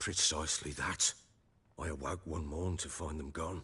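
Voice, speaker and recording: A man's put-on character voice, raspy and very deep in pitch, delivered in a flat monotone at a moderate pace. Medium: video game. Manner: gruff, blunt.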